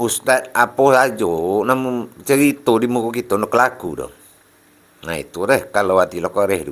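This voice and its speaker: A man with a West Sumatran accent speaks at medium pitch with lively intonation. His pace is fairly slow. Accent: Minangkabau, Panti-Tapus-Rao Pasaman dialect. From Pasaman, West Sumatra. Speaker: Islamic religious teacher. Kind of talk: religious sermon.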